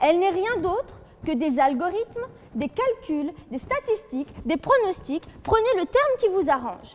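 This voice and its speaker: A woman's extremely high voice with very wide pitch swings and a slight Franche-Comté accent, at a fairly slow pace, over noticeable background noise. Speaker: law student, eloquence contestant. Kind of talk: competitive oratory speech. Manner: formal, rhetorical.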